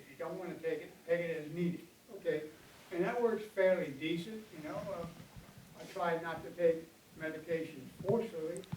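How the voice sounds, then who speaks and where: Big swings in loudness mark a man's high voice as he talks at a fairly quick pace amid audible room echo. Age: 80s+. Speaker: audience member asking questions. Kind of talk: Q&A at a health panel. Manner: halting.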